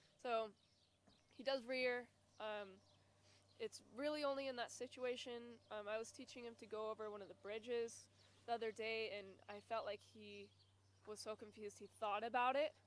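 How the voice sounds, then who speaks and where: Against noticeable background noise, a woman with a fairly high pitch and fairly even intonation pauses long and often. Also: moderate pace. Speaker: horse clinic participant. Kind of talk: casual explanation.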